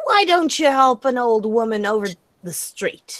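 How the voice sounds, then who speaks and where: In a put-on character voice, a woman speaks high with very wide pitch swings. Her pace is moderate. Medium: actual play. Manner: curt, haughty.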